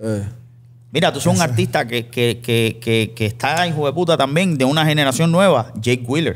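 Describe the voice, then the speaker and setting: In a normal speaking voice, a man talks at a moderate pace and medium pitch with ordinary pitch variation. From Cuba. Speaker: podcast host. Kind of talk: casual interview chat. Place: studio. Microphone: studio mic.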